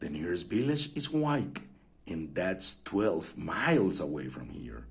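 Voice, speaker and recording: A man growls in a put-on character voice at a very deep, low pitch. He talks fairly slowly, his pitch swinging very widely. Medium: read story. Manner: growling, curt, grudging.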